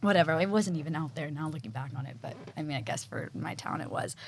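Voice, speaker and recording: Over noticeable background noise, a woman talks with a Texan accent and lively intonation. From Texas. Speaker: fashion design assistant. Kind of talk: casual interview.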